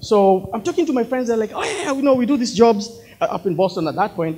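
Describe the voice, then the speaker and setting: The voice belongs to a man. It sits at a high pitch. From Kenya, near Nairobi. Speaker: speaker sharing personal story; speaker. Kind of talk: inspirational talk. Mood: earnest, reflective. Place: hall. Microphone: handheld.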